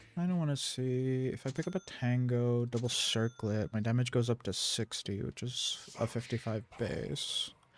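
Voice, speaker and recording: Soft-spoken, a man talks at a medium pitch and moderate pace with ordinary pitch variation and hardly any pauses, in a very clean recording with a silent background. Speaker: gaming streamer. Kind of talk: live game commentary. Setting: live stream at home computer. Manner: casual, rambling with filler hums.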